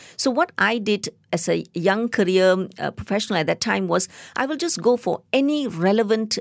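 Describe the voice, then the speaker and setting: Speaking at a moderate pace, a woman with a Tamil accent has a medium pitch. The recording is very clean, with a silent background and a dry, close sound with no echo. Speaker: biotechnologist and science communicator. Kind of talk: interview. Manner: halting.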